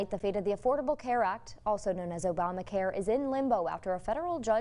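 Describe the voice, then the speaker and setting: Over music in the background, a woman talks at a very fast pace with ordinary pitch variation. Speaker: TV news anchor and reporter. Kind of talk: TV news anchor read.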